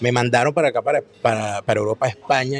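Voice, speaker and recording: A man with a Venezuelan accent talks at a very fast pace and a medium pitch. Music plays in the background, while his voice sounds dry and close with no echo. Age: 40s. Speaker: political commentator and author. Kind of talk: casual chat. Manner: animated.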